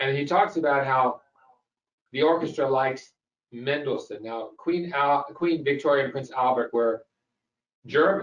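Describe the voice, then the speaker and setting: A man's fairly high, ordinary speaking voice with an American accent, ordinary pitch variation and a moderate pace. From US South (Memphis, Tennessee). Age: 60s. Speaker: host. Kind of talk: lecture.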